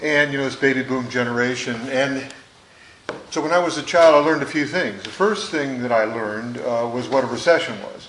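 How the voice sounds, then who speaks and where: A man with an American accent talks at a fairly quick pace with ordinary pitch variation, amid noticeable background noise and audible room echo. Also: medium pitch for a man. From US Midwest, Detroit, Michigan. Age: 60s. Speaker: former member of Congress. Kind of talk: panel talk to students. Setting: school conference hall with audience. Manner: conversational with frequent fillers.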